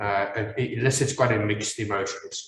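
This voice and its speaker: Audible room echo surrounds a man speaking at a moderate pace with an Afrikaans South African accent. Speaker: maxillofacial surgeon. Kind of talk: lecture. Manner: halting, many fillers.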